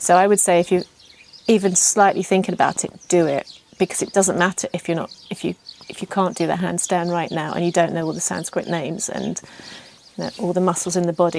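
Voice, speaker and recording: Over noticeable background noise, someone with an English accent talks at a fairly quick pace in a monotone, flat intonation. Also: woman. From England. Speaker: yoga teacher trainee. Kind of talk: testimonial interview. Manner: hesitant, many fillers.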